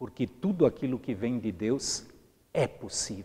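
Somewhat breathy and dark, mellow in tone, a man's medium-pitched voice makes very wide pitch swings at a very slow pace. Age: 60s. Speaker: pastor. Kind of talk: sermon. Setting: empty church.

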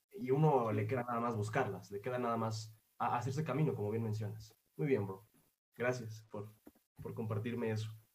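At a fairly quick pace, a man with a medium pitch and a somewhat breathy voice talks with fairly even intonation amid audible room echo. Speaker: podcast host. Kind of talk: casual interview. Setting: remote interview.

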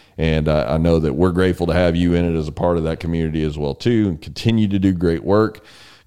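A man with a Texas accent, very deep and low in pitch, at a very fast pace with hardly any pauses and ordinary pitch variation. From Texas, San Antonio. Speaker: podcast host. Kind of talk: interview; scripted intro. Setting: studio.

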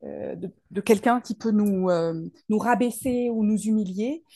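Her pitch sits fairly high for a woman, with a dark, mellow tone. The voice is somewhat breathy. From Paris region, France. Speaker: soul therapist and speaker. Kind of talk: interview.

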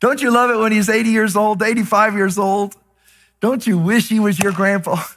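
A man speaks with an American accent in a high-pitched, animated voice. His loudness stays very even throughout. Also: moderate pace. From Texas. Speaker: pastor. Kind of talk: sermon. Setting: church.

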